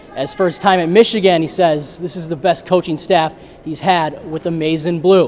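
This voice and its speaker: A high-pitched man talks at a moderate pace while noticeable background noise plays behind him. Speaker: sports anchor and reporter. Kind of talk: TV sports news anchoring and reporting. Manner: upbeat, playful.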